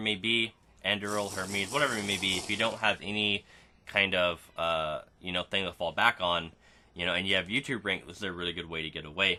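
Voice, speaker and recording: Over noticeable background noise, a man with a very deep, low pitch speaks with ordinary pitch variation. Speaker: gaming YouTuber. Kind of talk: gameplay commentary. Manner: stutters and repeats words; casual filler-heavy.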